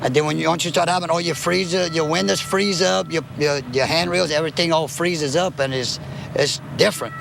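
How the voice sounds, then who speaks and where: The speaker has a Southern Louisiana accent and talks at a fairly quick pace with ordinary pitch variation. Noticeable background noise runs behind the voice. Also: man, fairly high pitch for a man. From South Louisiana, Lafourche Parish. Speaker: tugboat captain. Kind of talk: interview.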